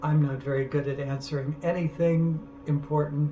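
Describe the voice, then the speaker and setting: Over noticeable background noise and audible room echo, a man speaks at a fairly high pitch with monotone, flat intonation. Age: 70s. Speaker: artist. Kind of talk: casual monologue. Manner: halting.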